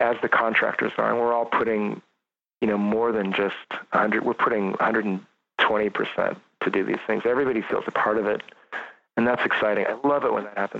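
This man has a normal speaking voice at a medium pitch. He talks at a moderate pace with fairly even intonation. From rural California (Sierra foothills, San Joaquin Valley). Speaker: architect. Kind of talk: interview conversation.

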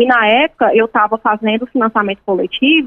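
At a moderate speed, a woman with an ordinary speaking voice talks in a fairly high register. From Ceará, Brazil. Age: 30s. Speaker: journalist and author. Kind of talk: interview.

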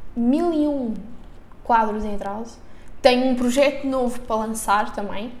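A woman with a European Portuguese accent speaks at a fairly slow pace and a high pitch, her intonation fairly even. Long, frequent pauses, audible room echo and noticeable background noise fill the recording. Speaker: podcast co-host. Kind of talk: casual chat.

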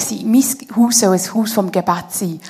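This is a plain, everyday voice with ordinary pitch variation. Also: woman. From Switzerland, canton of Bern (Konolfingen). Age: 30s. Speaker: head of a theology school, guest speaker. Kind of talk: church interview, personal testimony.

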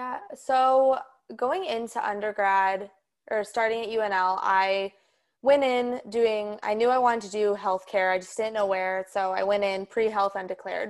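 An unremarkable speaking voice, this woman's is fairly high in pitch, with an American accent, fairly even intonation and a moderate pace, on a very clean recording with a silent background. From Colorado. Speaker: chiropractic student. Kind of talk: casual interview.

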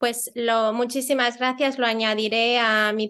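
Against a quiet background, a woman talks in a bright, sharp tone with monotone, flat intonation. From Spain, Mallorca. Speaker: podcast host. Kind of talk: interview conversation.

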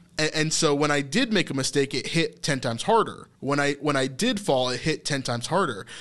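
A man talks with a plain, everyday voice, pitched fairly high with ordinary pitch variation. His pace is fairly quick, with hardly any pauses. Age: 30s. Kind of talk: casual faith discussion.

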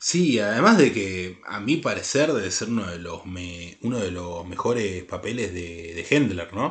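This man has a fairly low, somewhat breathy voice and lively intonation. He talks at a fairly slow pace with big swings in loudness. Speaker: podcast co-host, film critic. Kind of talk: casual chat.

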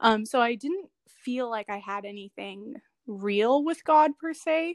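A woman's fairly high voice with lively intonation and an American accent, dry and close with no echo, on a very clean recording with a silent background. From Chicago. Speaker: HR worker, church member. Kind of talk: testimony. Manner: hesitant, many fillers.

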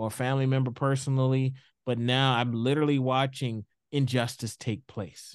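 A man's voice sits at a medium pitch. His intonation is monotone and flat, his pace moderate. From US South, Houston, Texas. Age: 40s. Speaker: equity consultant, former school principal. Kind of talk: interview. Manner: repeats words, hesitant fillers.

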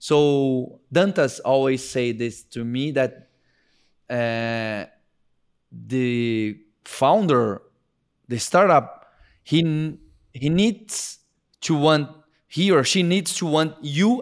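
Speaking at a very slow pace with long, frequent pauses, a man with a Portuguese accent uses lively intonation and a fairly high pitch. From Brazil. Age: 40s. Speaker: tech entrepreneur. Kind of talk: interview conversation. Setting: video call.

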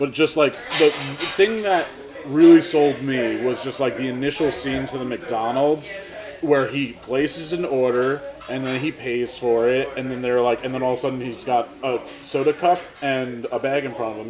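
Medium-pitched male voice over noticeable background noise. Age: 30s. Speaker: podcast host and videographer. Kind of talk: casual chat. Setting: diner.

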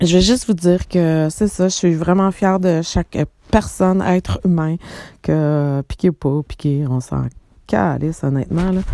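In a Quebec accent, a woman speaks with a fairly low pitch and a dark, mellow tone. Her voice is shaky, with ordinary pitch variation. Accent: Québécois French. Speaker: psychic medium podcaster. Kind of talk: casual monologue. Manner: emotional, trembling voice; hesitant fillers.

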